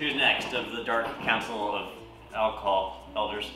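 With music in the background and audible room echo, a man talks at a moderate pace. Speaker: vlogger. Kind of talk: casual vlog chat. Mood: playful, giggly. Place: kitchen.

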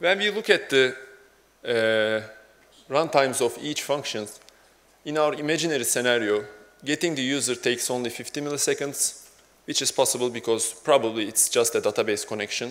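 Here a man speaks with a Turkish accent. His pitch is fairly high and his pace moderate. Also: ordinary pitch variation. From Turkey. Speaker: software developer; conference speaker. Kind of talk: conference talk. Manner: halting. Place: hall.

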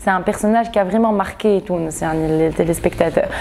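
Over light background noise, a woman talks at a moderate pace in a medium pitch with ordinary pitch variation. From Tunisia. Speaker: actress. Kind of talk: interview. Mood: calm, personal, reflective.

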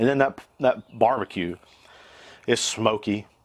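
The man speaks with a fairly low pitch. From US South, North Carolina. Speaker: cooking YouTuber. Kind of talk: cooking tutorial. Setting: outdoors on back porch. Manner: animated. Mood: upbeat, jokey. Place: garden.

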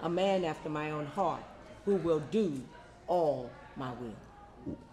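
Light background noise runs beneath a man's voice. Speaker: prayer leader and scripture reader; scripture reader. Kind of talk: prayer and scripture reading. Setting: church meeting. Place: home room. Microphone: handheld.

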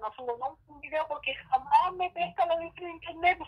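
A woman with a Chilean accent talks at a moderate pace with lively intonation. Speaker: YouTuber. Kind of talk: casual chat. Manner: animated.

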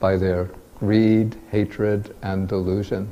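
This man has a fairly low pitch and a dark, mellow tone. He talks at a very slow pace with monotone, flat intonation. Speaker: Buddhist monk and teacher; Buddhist monk teacher. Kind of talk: lecture. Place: hall.

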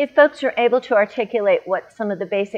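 Moderate-paced speech from a woman. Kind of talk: interview answer. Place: garden. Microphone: lapel.

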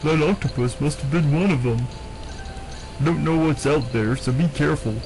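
A man speaks in a put-on character voice, pitched fairly high, at a moderate pace. Clear music plays in the background. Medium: game stream. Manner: worried, earnest.

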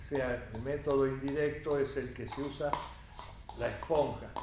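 A man speaking at a moderate pace, with audible room echo and noticeable background noise. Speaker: cooking instructor. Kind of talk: tutorial. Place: kitchen.

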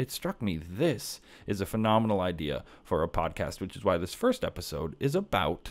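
Here a man speaks with a fairly low pitch at a moderate pace. His pitch swings very widely. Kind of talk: casual theology monologue. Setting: home kitchen table. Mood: earnest, warm. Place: home room. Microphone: studio mic.

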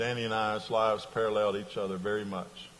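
A man talks at a fairly quick pace and fairly low pitch in an ordinary speaking voice. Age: 60s. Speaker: pastor and religion professor; pastor, religion professor. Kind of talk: sermon. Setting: chapel worship service. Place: church. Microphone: lapel.

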